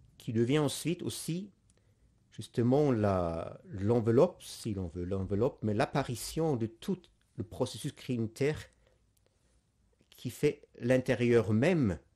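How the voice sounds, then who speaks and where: Against a quiet background, a man with a non-native accent, a medium pitch and a dark, mellow tone speaks at a very slow pace in lively intonation, with long, frequent pauses. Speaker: priest giving catechesis. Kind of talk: lecture. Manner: halting, many hesitations.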